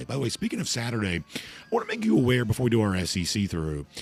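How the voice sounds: A put-on character voice from a man, raspy and medium-pitched, delivered at a very fast pace with lively intonation.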